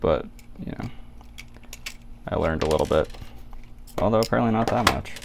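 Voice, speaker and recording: The speech is mumbling, at a very fast pace but with long, frequent pauses. Noticeable background noise runs underneath. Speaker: DIY electronics hobbyist. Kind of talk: tutorial. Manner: casual.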